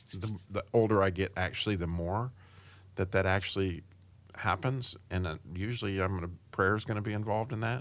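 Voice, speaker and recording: A man speaks at a fairly quick pace with a fairly low pitch and fairly even intonation, in an ordinary speaking voice. The recording is very clean, with a silent background. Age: 60s. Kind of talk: casual interview chat.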